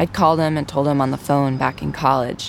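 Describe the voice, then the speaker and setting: Background noise is noticeable here. Over it, a woman talks at a fairly quick clip. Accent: American. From Virginia. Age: 30s. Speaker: radio reporter. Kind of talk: narrated documentary.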